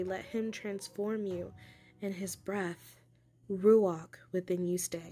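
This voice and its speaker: A woman's monotone, flat delivery at a very slow pace, with music in the background. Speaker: poet. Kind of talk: spoken word poetry reading.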